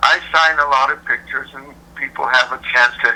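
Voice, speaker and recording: A man speaks over noticeable background noise. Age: 60s. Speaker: tribute singer. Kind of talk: interview. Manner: halting, repeats words.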